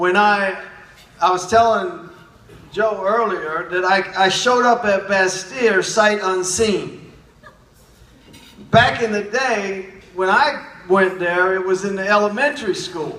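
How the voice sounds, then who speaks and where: Over noticeable background noise and audible room echo, a man speaks in a raised, projected voice at a high pitch, with ordinary pitch variation, long and frequent pauses, and a very slow pace. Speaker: naturopathic doctor. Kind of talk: speech.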